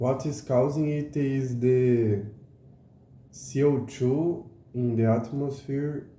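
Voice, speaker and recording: Talking at a very slow pace with long, frequent pauses, a man with a Portuguese accent uses a medium pitch, ordinary pitch variation and a somewhat breathy, dark, mellow tone amid audible room echo. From Brazil. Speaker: educational YouTuber. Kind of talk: casual explainer monologue. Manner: halting, many fillers.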